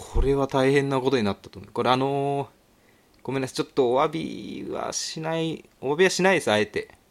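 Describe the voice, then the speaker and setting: A man with a fairly high voice talks at a fairly quick pace, showing ordinary pitch variation and big swings in loudness. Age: 30s. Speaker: podcast host. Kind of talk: casual solo talk. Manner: animated.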